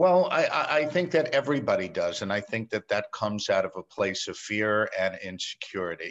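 A man with a New York accent at a moderate pace, hardly any pauses, over a quiet background. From New York City. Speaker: meeting planner. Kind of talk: casual interview chat.

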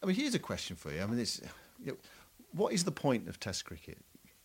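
A man speaks with vocal fry. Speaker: cricket podcast co-host. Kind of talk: casual analytical chat.

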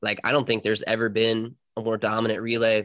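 An American accent marks this man's speech at a medium pitch. He talks at a fairly quick pace with monotone, flat intonation. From US South, North Carolina. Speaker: competitive swimmer. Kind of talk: interview. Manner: casual.

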